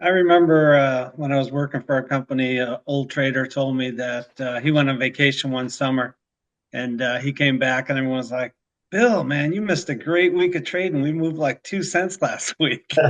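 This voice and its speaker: With a Chicago accent, a man speaks at a fairly high pitch. His pace is moderate and his pitch variation ordinary. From Chicago, north side. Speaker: commodities risk management broker. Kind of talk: casual podcast chat. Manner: hesitant, many filler uhs.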